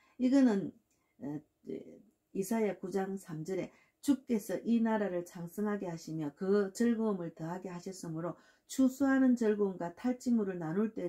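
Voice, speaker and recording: In an ordinary speaking voice, a woman speaks at a medium pitch and a moderate pace with ordinary pitch variation. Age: 60s. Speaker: pastor. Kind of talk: sermon. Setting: at home.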